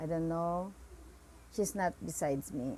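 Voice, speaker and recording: A woman speaks over noticeable background noise. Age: 30s. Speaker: vlogger and tourism student. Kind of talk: casual vlog self-introduction. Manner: halting.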